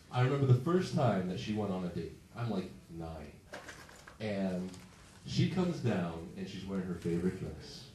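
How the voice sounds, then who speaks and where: Noticeable background noise and audible room echo surround a man with a very deep, low pitch and an American accent. He speaks at a moderate pace with lively intonation and long, frequent pauses. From Massachusetts. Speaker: stand-up comedian. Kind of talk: stand-up. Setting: stage with audience.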